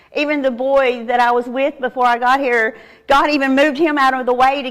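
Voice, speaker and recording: Speaking in a Southern US accent, a woman uses a high pitch at a moderate pace. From Arkansas, US South. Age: 50s. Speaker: recovering addict giving testimony. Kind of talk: testimony. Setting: church with audience.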